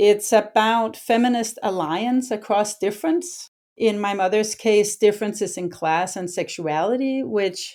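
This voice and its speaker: A woman at medium pitch with a Danish accent, fairly slow in pace, ordinary pitch variation, on a very clean recording with a silent background. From Denmark, Copenhagen. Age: 50s. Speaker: historian and author. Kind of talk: book discussion conversation.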